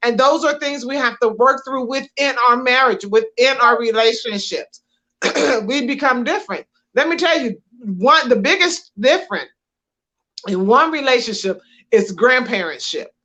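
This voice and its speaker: Projected and raised, a woman's high-pitched voice has a bright, sharp tone, lively intonation and a moderate pace. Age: 60s. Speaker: podcast co-host, minister. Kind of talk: casual chat.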